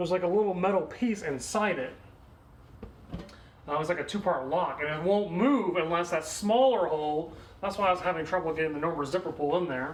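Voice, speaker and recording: The speaker mumbles at a fairly quick pace. Noticeable background noise is present. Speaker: DIY video creator. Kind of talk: casual tutorial. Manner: mumbling.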